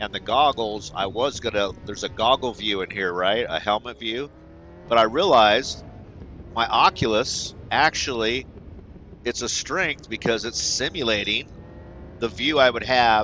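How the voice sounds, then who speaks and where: Light background noise is present, and the sound is dry with no echo. A man talks at a moderate pace with ordinary pitch variation. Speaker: sim racing gamer. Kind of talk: casual gameplay commentary. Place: home room.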